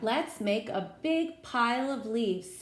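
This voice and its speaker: A woman performs a put-on character voice with a fairly high pitch. She speaks at a fairly slow pace over light background noise. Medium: read story. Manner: lively.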